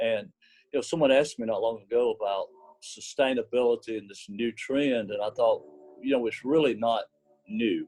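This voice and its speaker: The speaker talks at a moderate pace with a Southern US accent, the loudness swinging widely from moment to moment. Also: man. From US South, small cotton mill village. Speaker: apparel company executive. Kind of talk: interview.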